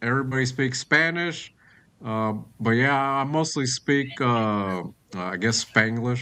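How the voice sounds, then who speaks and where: An American-accented man talks at a fairly slow pace. His tone is bright and sharp, with ordinary pitch variation. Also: medium pitch for a man, very clean recording, silent background. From US, Tennessee. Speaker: live stream host. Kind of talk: casual chat.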